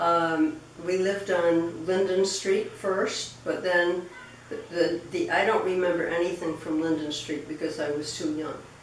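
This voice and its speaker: Amid noticeable background noise and audible room echo, a woman with an American accent speaks fairly slowly in a fairly low, monotone, flat voice. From Rhode Island, US New England. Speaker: interviewee recounting family history. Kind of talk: oral history interview. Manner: halting, many fillers and repetitions.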